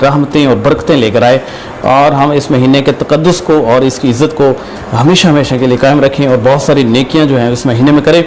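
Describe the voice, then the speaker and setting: Amid noticeable background noise, a man speaks with fairly even intonation and very even loudness. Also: fairly high pitch for a man. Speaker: TV/online show host. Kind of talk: live show host greeting.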